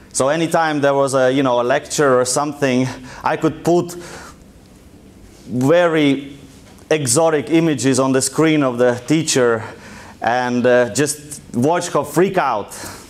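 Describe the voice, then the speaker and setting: Speaking in a strong Russian accent, a man with a fairly high pitch and fairly even intonation talks at a fairly slow pace with long, frequent pauses and very even loudness, and audible room echo surrounds his voice. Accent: thick Russian. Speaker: entrepreneur and guest lecturer. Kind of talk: lecture. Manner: casual, conversational.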